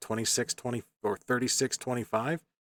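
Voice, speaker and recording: In an unremarkable speaking voice, a man talks at a fairly quick pace with medium pitch, and the sound is dry and close with no echo. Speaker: eBay reseller. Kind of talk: sales update video. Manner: casual, filler-heavy.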